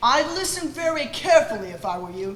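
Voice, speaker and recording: At a fairly quick pace, a put-on character voice rides high in pitch with very wide swings, over clear background noise and a slight echo. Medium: stage play. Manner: formal.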